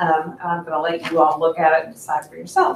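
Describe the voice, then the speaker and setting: The woman's speech moves along at a fairly quick pace. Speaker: title company representative. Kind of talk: presentation to a meeting. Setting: meeting room without mic. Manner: loud.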